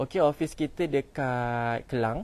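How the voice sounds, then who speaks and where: With a Malaysian accent, a man speaks with ordinary pitch variation. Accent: Malaysian Malay. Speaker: home builder sales representative. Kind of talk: live-stream house tour. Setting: outdoors. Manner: casual; chatty. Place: open country. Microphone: phone near.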